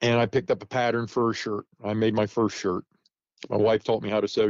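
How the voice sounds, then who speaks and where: Here a man talks at a very fast pace in a medium pitch. The sound is dry and close, with no echo. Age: 60s. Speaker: muzzleloading reenactor and storyteller. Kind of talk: casual interview chat. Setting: podcast interview. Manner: informal, self-deprecating, with hesitations.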